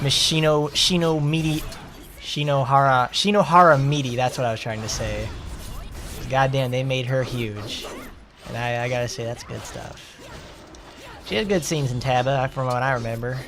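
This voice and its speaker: A man with a Southern US accent speaks at medium pitch and a moderate pace, with ordinary pitch variation and long, frequent pauses. Audible room echo and noticeable background noise are present. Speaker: gaming streamer. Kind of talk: live gameplay commentary. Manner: animated.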